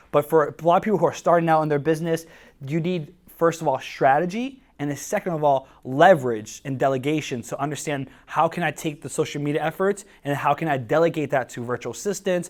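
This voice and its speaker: A man with a slight Spanish accent talks at a very fast pace in an energetic tone and a fairly high pitch. The recording is very clean, with a silent background. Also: ordinary pitch variation. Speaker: social media marketing speaker. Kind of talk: workshop talk to live audience. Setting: stage with audience at coworking space. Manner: energetic, hesitant with many fillers.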